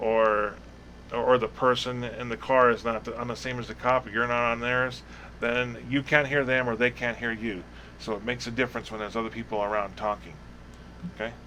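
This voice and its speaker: A man at a medium pitch, fairly quick in pace, with monotone, flat intonation. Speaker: roleplay police academy instructor. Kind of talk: tutorial. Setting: live stream. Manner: fast.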